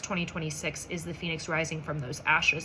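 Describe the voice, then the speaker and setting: Audible echo fills the room. A woman's speech moves fairly quickly. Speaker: psychic medium. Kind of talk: channeled message monologue. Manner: halting, stumbling over words; casual, conversational.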